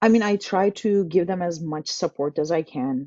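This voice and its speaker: This is a woman speaking. She keeps a moderate pace. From Turkey. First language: Turkish. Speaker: tech community manager. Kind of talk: casual interview webinar.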